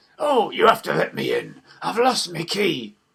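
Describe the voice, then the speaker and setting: A man's croaky, gravelly put-on character voice, high in pitch, at a moderate pace. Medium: read story. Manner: sly, wheedling.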